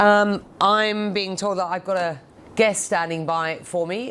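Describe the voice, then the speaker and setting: The speaker uses a London accent and fairly even intonation on a very clean recording with a silent background. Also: woman. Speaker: news anchor. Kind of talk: live news broadcast.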